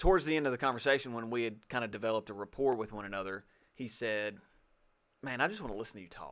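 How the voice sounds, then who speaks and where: A man speaks with a Southern US accent. The recording is very clean, with a silent background. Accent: Southern drawl, slow and twangy. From Alabama, small town. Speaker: podcast co-host. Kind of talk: casual chat.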